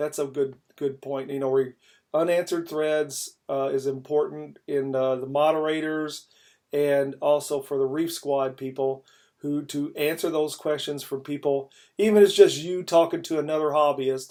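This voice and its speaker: With a slight Kentucky accent, this voice has a dark, mellow tone and monotone, flat intonation on a very clean recording with a silent background. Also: man, fairly high pitch for a man, moderate pace. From Kentucky, Louisville. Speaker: podcast host. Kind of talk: casual chat.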